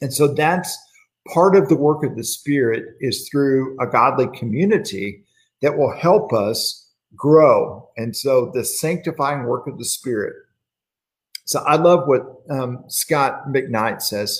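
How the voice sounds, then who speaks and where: A man speaks at a very slow pace in a fairly high voice. His delivery is somewhat breathy. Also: ordinary pitch variation. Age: 50s. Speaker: church minister leading Bible study. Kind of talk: livestreamed Bible class devotional.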